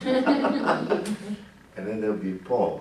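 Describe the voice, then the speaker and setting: This is a man's voice. It sounds somewhat breathy. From Benin. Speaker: storyteller. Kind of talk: live storytelling performance. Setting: live audience, indoors.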